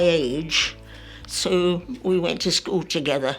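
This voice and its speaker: This woman's voice sits fairly low in pitch. Music plays in the background. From France. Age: 80s+. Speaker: centenarian. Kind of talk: interview answer, life story reminiscence.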